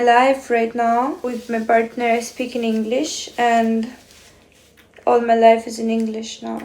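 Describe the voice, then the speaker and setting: A woman with a non-native accent speaks at a moderate pace in a high voice, her loudness rising and falling sharply. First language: not English. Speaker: beauty vlogger. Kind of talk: casual vlog talk to camera.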